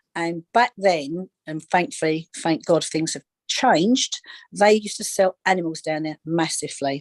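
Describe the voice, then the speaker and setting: A woman with a London accent and a fairly low pitch speaks at a moderate pace with ordinary pitch variation and big swings in loudness, in a dry, close sound with no echo. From East London, England. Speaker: psychic medium and animal communicator. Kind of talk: interview on a live video call. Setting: video call. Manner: halting, many repetitions and fillers.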